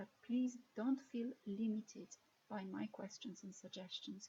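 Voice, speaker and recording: A woman's somewhat breathy, dark, mellow voice, fairly high in pitch, slow-paced, with a Polish accent. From Poland. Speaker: lecturer in ethics and moral theology. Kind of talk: recorded lecture introduction.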